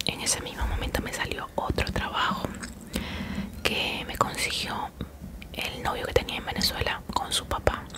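This soft-spoken woman talks at a fairly slow pace with long, frequent pauses. Loud background noise runs underneath. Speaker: home vlogger. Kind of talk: casual vlog chat, soft-spoken storytelling. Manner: soft ASMR storytelling voice, close mic. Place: home room. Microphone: studio mic.

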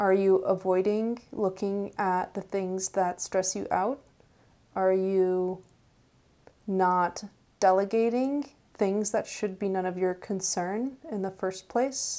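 A woman's dark, mellow tone at a very slow pace, with fairly even intonation. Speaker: tarot reader. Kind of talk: tarot reading video. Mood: calm, reflective. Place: home room.

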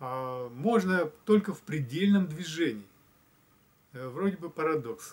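A man with a fairly high voice speaks very slowly, with lively intonation, big swings in loudness, and long, frequent pauses. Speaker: spiritual blogger; video blogger. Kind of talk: reflective monologue. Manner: hesitant with fillers. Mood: calm, thoughtful. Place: home room. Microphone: camera far.

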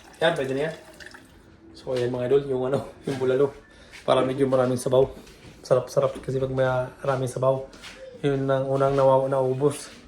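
Noticeable background noise sits behind a man with a medium pitch and monotone, flat intonation. He talks at a fairly quick pace, broken by long, frequent pauses. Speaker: vlogger. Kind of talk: casual home vlog. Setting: at home.

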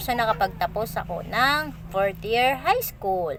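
The woman's delivery is very slow. Her medium pitch shifts in an ordinary way. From Philippines, Bicol. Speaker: vlogger. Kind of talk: personal storytelling. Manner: halting, many fillers.

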